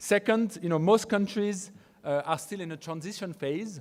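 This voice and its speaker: Lively intonation in a French accent at a moderate pace. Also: man. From France. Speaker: research firm founder, conference speaker. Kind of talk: conference presentation. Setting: conference stage with audience. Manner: halting, many fillers and repetitions.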